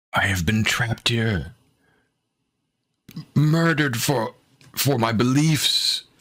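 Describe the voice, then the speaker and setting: Using a put-on character voice, a man at medium pitch speaks at a fairly slow pace with long, frequent pauses. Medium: actual play. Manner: slow, halting, as if remembering.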